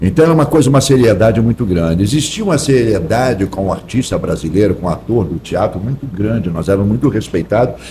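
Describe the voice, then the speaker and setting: A man's very fast, lively speech at medium pitch, with hardly any pauses. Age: 70s. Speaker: actor. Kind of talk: podcast interview.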